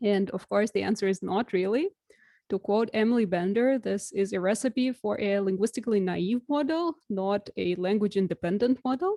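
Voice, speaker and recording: A woman with a Russian accent, medium pitch and a dark, mellow tone, in a dry, close sound with no echo and a quiet background. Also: ordinary pitch variation, moderate pace. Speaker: researcher. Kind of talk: lecture.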